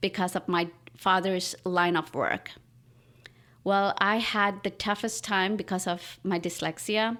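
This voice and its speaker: A woman with a Pakistani accent speaks at a medium pitch and a fairly slow pace, her tone bright and sharp. Her loudness stays very even and her intonation fairly even, on a very clean recording with a silent background. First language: Urdu. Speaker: artist and writer. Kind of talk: interview. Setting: at her home.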